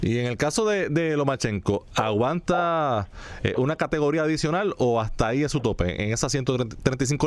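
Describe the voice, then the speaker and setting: At a moderate pace and with hardly any pauses, a man speaks in an unremarkable speaking voice of medium pitch. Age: 40s. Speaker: sports radio host. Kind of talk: sports talk radio.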